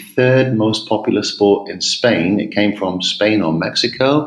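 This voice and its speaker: A man talks at a fairly slow pace in a fairly low pitch. Room echo is audible around him. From England. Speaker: tennis coach. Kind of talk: podcast interview. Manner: hesitant, many fillers and repetitions.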